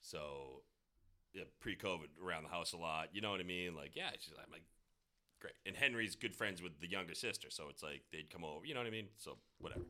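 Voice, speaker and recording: A man's very deep, low pitch with a bright, sharp tone, ordinary pitch variation and a fairly quick pace. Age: 40s. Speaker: podcast host. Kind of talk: casual chat.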